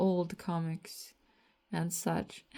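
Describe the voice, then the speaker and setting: This woman has a dark, mellow tone that is somewhat breathy. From Latvia. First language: Latvian. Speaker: artist and comic author vlogger. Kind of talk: casual monologue vlog. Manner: rambling, hesitant with fillers.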